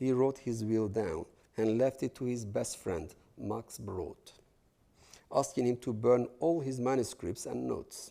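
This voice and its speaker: This very clean recording has a silent background. The speaker, in a Kurdish accent, talks at a fairly slow pace in a dark, mellow tone with ordinary pitch variation. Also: man. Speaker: novelist, guest lecturer. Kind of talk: lecture.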